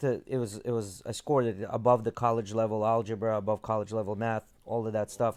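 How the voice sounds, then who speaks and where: A man speaks at a very fast pace with hardly any pauses, over a quiet background. His medium-pitched voice is monotone, with flat intonation. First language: not English. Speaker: podcast host. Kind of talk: casual chat.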